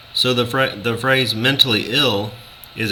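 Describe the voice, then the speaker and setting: A man speaks at a fairly slow pace. Noticeable background noise and audible room echo are present. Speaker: video blogger. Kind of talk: opinion monologue. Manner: loud; passionate, intense.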